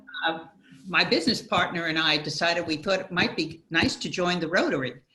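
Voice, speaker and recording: Noticeable background noise sits behind a woman with a fairly low pitch. She talks at a fairly quick pace with ordinary pitch variation. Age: old. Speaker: audience member, retired professional. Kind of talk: casual Q&A discussion.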